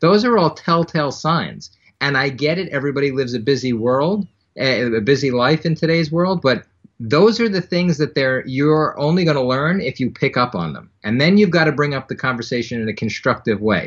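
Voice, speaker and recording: With an American accent, a man talks at a fairly quick pace in a normal speaking voice. His pitch is fairly high and his intonation lively. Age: 30s. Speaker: anti-bullying nonprofit founder. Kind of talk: interview.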